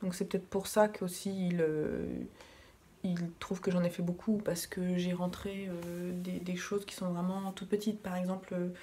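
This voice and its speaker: A soft-spoken woman talks at a moderate pace in a flat monotone, her tone dark and mellow and somewhat breathy. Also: medium pitch for a woman. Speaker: knitting vlogger. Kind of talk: casual vlog talk. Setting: at home in living room.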